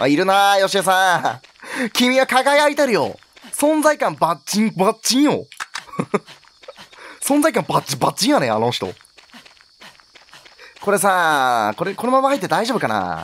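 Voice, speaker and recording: Speaking with a high pitch and very wide pitch swings, a man leaves long, frequent pauses. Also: moderate pace. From Kansai, Japan. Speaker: game streamer. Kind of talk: gameplay commentary. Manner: loud, energetic.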